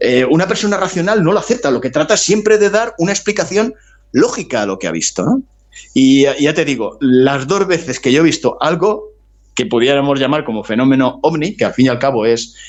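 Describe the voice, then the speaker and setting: Here a man speaks at a fairly high pitch. His voice makes very wide pitch swings. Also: fairly quick pace. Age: 60s. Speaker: writer. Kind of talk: interview. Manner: halting.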